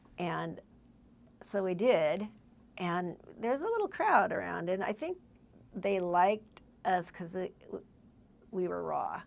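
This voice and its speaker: Long, frequent pauses break up the speech. The pace is fairly slow. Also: woman. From Southern California, Whittier. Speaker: singer-songwriter. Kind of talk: casual chat.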